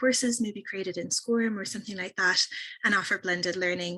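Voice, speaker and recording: Her voice has a bright, sharp tone. The woman speaks at a medium pitch. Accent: Irish. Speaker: software company representative. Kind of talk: product presentation on a webinar. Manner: fast.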